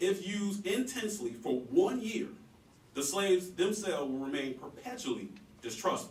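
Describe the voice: The speaker uses big pitch swings at a fairly slow pace. Audible room echo fills the recording. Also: man, high pitch for a man.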